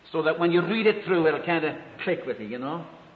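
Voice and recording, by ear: A man speaks fast with a fairly high pitch. His pitch varies in an ordinary way, with audible room echo.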